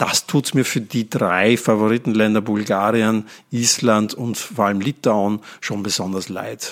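Over a very clean recording with a silent background, a man with an unremarkable speaking voice talks fairly slowly at a fairly low pitch with fairly even intonation. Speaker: podcast host. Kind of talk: casual chat.

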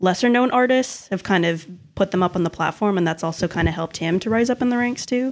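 The recording is very clean, with a silent background. A woman speaks in a normal speaking voice with medium pitch and ordinary pitch variation. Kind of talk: casual chat.

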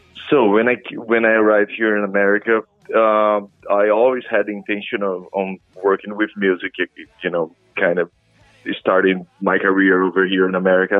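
Music plays in the background as a man with a Portuguese accent speaks at a moderate pace, with a fairly low pitch and monotone, flat intonation. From Brazil. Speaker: rock singer and guitarist. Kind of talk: interview.

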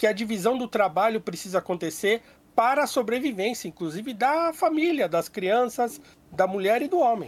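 With lively intonation and a high pitch for a man, a man speaks at a moderate pace. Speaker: podcast co-host. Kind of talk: casual debate. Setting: remote call.

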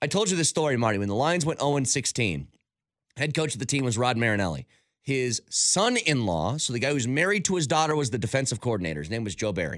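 A man's very fast, medium-pitched speech with vocal fry and very wide pitch swings, on a very clean recording with a silent background. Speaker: sports radio host. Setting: studio.

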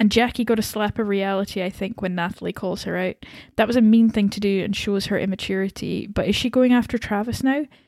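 On a very clean recording with a silent background, a woman talks very fast at a medium pitch with fairly even intonation. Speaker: podcast co-host. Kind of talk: casual chat.

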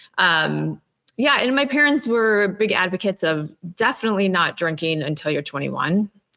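A woman speaks with lively intonation and a bright, sharp tone. Her pitch is medium and her pace is moderate. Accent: Upper Midwest. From Minnesota. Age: 20s. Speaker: sober lifestyle co-founder. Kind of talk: interview testimony.

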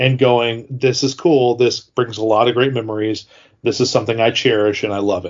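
A man's ordinary speaking voice, pitched in the middle range, with fairly even intonation and a moderate pace. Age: 40s. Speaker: toy collector and retiring YouTuber. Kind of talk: casual interview.

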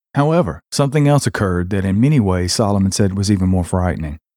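A man speaks in a dramatic tone with a dark, mellow sound and lively intonation. The recording is very clean, with a silent background and a dry, close sound with no echo. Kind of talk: scripted narration of true paranormal and horror stories, read aloud. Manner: grave, measured, storyteller delivery with a dramatic, ominous tone; formal, polished phrasing read from a script.

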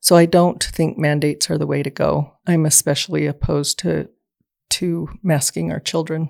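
Someone with an American accent speaks at a moderate pace in a dry, close sound with no echo. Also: woman. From Southeast Idaho, US. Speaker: state legislative candidate. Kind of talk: political interview.

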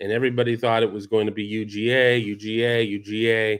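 At a moderate pace, a man with an unremarkable speaking voice and a fairly low pitch talks on a very clean recording with a silent background. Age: 50s. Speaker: college football podcast host. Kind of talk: solo commentary show.

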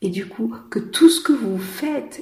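A woman speaks at a very slow pace with a medium pitch and lively intonation. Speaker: business coach and podcast host. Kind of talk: solo podcast monologue. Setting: outdoors in city traffic.

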